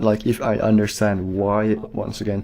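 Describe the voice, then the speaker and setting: This man speaks in a Finnish accent at a fairly slow pace. His voice sits fairly low, with a dark, mellow tone. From Finland. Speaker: movie reviewer. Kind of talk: casual unscripted monologue. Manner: hesitant, many fillers.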